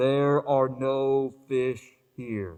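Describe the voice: A booming put-on character voice from a man, medium in pitch with ordinary pitch variation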